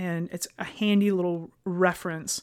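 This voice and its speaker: Speaking in a normal speaking voice, a woman holds a medium pitch and shows ordinary pitch variation. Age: 40s. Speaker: fitness business owner and podcast host. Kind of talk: solo podcast monologue. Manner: casual, with frequent fillers and restarts.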